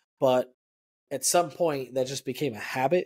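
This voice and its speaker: A man with an American accent speaks at a moderate pace in an ordinary speaking voice. His pitch is medium, with ordinary pitch variation. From El Paso, Texas. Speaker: podcast co-host. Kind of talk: casual chat, personal testimony.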